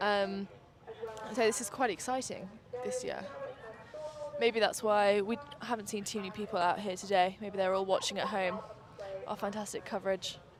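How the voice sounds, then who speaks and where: Against noticeable background noise, a woman speaks at a moderate pace in a medium pitch with monotone, flat intonation and long, frequent pauses. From northern England. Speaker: student live stream presenter. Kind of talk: live commentary. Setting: outdoor riverside studio. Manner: casual, bantering.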